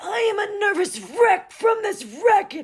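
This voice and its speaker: A raspy, put-on character voice shouts at an extremely high pitch, keeping a fairly slow pace. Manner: shouting, frazzled.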